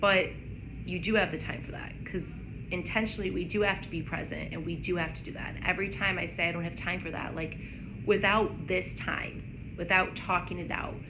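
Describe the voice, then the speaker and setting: A woman talks at a fairly quick pace, her loudness swinging widely. Music plays in the background, and the room echo is audible. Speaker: vlogger. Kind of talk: casual chat.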